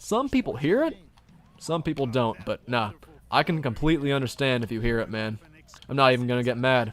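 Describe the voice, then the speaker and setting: A man's medium-pitched voice with a slight Southern US accent, ordinary pitch variation and a fairly quick pace. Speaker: gaming streamer. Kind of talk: casual chat. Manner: animated.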